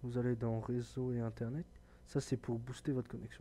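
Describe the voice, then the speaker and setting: Soft-spoken, the man talks at a moderate pace. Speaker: gaming tech youtuber. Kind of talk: tutorial.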